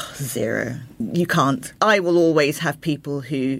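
A woman speaks in a London accent with ordinary pitch variation over noticeable background noise. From London (Croydon). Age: 50s. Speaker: interiors blogger, former fashion journalist. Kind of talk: casual interview chat.

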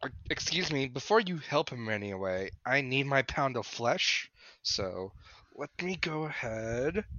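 A man's medium-pitched voice, bright and sharp in tone, with big pitch swings at a fairly slow pace

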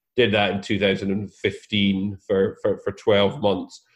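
Pitched fairly low, a man talks in a Scottish accent. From Scotland. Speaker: property investor. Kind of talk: interview. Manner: hesitant, many fillers and repeated words.

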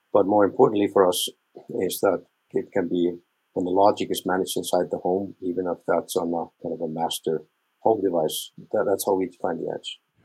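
The speaker, in an Icelandic accent, goes at a fairly quick pace, with a dry, close sound and no echo. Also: man. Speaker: smart home product manager. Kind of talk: panel interview.

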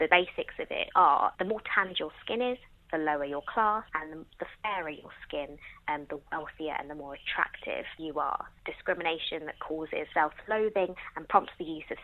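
With an English accent, a woman talks at a moderate pace and fairly low pitch with ordinary pitch variation. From England. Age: 20s. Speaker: television journalist. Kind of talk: casual chat.

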